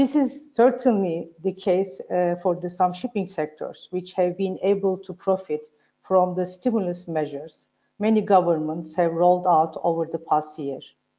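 A woman with a Turkish accent speaks at a moderate pace and a medium pitch. Her pitch variation is ordinary, and the background is quiet. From Turkey. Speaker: panel moderator, shipping executive; panelist. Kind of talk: panel discussion. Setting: video call. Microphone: video call.

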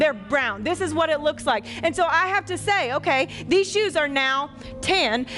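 Over faint background music, a woman speaks at a high pitch and a moderate pace. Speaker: pastor. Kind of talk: sermon. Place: church. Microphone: headset.

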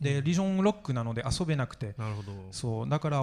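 A man with a French accent talks at a very fast pace in a medium pitch against a quiet background. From France. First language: French (speaking Japanese). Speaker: video game historian and author. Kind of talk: conference panel discussion. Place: hall. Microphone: handheld.

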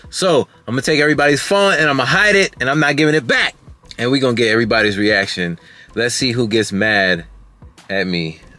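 A man speaks at a fairly quick pace. The sound is dry with no echo, and faint music plays in the background. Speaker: family vlogger. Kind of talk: casual vlog chat. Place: car. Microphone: phone near.

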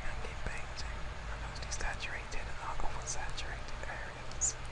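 Noticeable background noise accompanies a man whispering at a moderate pace. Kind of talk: ASMR tutorial. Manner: soft-spoken, whispering.

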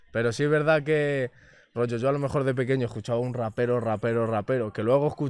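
A man talks at a very fast pace in a medium pitch, with fairly even intonation and a dry sound that has no echo. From Spain, Madrid area (Rivas); Spain. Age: 20s. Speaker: reggaeton singer; interviewee. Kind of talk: casual interview chat. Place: studio. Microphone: studio mic.

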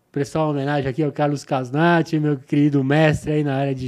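A man's voice has a dark, mellow tone, set against a quiet background. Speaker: podcast guest. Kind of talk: interview answer. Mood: relaxed, smiling. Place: studio. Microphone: studio mic.

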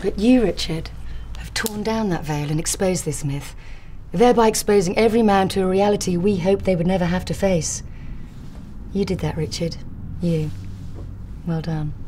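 A woman speaks at a moderate pace with ordinary pitch variation, leaving long, frequent pauses over light background noise. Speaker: actress playing a company chief executive. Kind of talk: TV commercial read. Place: office.

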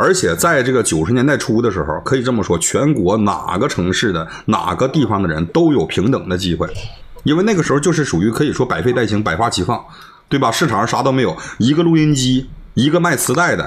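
Speaking at a fairly quick pace with a Northeastern Chinese accent, a man keeps his loudness very even while his pitch swings very widely. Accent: Northeastern Mandarin. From Northeast China. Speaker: livestreamer. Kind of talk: heated debate. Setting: video call. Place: home room.

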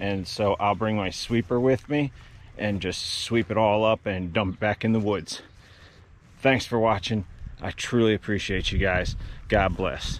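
An ordinary speaking voice moves at a fairly slow pace with fairly even intonation. The sound is dry with no echo. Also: man, fairly low pitch for a man. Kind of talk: casual vlog chat. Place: garden. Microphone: phone near.

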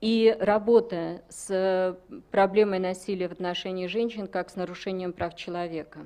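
At a moderate pace, a woman with a medium pitch and a dark, mellow tone speaks in a monotone, flat intonation while her loudness swings widely. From Russia. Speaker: women's rights activist; conference presenter. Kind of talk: conference presentation. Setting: conference hall with audience. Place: hall. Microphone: podium.

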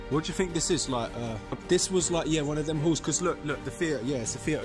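A man talks at a very fast pace with ordinary pitch variation. Clear music plays in the background. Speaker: urban explorer vlogger. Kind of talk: casual vlog chat. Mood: excited, slightly nervous. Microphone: phone near.

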